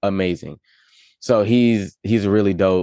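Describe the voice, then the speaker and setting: With a dry, close sound and no echo, a man with a fairly low pitch talks at a moderate pace over a quiet background in an ordinary speaking voice. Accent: American. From Las Vegas, then Charlotte, North Carolina from age twelve. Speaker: rapper and music producer. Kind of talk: casual interview.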